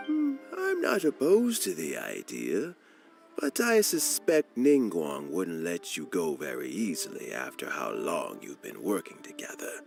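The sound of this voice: A cartoonish character voice from a man, low in pitch with very wide pitch swings, vocal fry and a slightly husky edge, at a fairly slow pace over faint music in the background.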